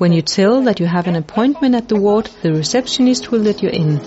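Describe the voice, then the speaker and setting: Through noticeable background noise, a woman speaks in a calm tone with lively intonation. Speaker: midwife. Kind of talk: scripted tour-guide voiceover, step-by-step directions through the hospital ward. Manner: calm, reassuring and methodical, like reading careful instructions; formal, slightly stiff non-native phrasing.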